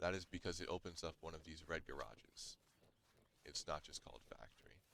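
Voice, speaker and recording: A man's voice sits at a very deep, low pitch yet carries a bright, sharp tone. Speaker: gaming youtuber. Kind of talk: gameplay tutorial. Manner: fast.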